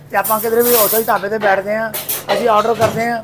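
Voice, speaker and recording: A man with a Punjabi accent and a high pitch speaks at a moderate pace with fairly even intonation amid noticeable background noise. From Punjab region, India (Chandigarh, born in Ambala). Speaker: dhaba owner. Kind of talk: casual interview.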